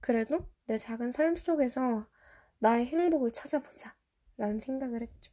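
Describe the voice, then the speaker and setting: A woman with a high pitch and a dark, mellow tone speaks at a moderate pace, with ordinary pitch variation and long, frequent pauses. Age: 20s. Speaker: podcast host. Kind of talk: casual solo podcast talk. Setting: recording at home late at night.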